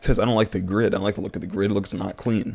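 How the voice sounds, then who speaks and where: A man with a fairly low pitch talks very fast in an animated tone. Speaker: streamer. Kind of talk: casual livestream chat.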